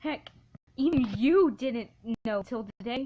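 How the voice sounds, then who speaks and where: Ordinary pitch variation and a moderate pace from a woman with a somewhat breathy voice. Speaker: fan fiction reader. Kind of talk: reading aloud. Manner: halting, stumbles often.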